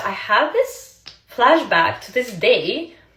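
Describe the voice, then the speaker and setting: A woman speaks in an animated tone with a Russian accent. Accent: Russian accent, non-native English. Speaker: social media creator, former model. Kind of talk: casual storytelling to camera.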